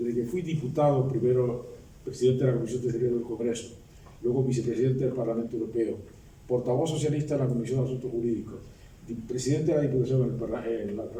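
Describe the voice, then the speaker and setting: A man speaks at a very fast pace with medium pitch. Audible room echo is present. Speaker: retired law professor and former politician. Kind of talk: book presentation speech. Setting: public academic event with audience. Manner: halting.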